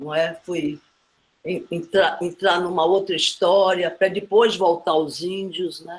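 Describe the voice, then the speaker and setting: Speech from this woman comes very slowly. She sits fairly low in pitch. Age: 80s+. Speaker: film director and actress. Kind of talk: panel discussion.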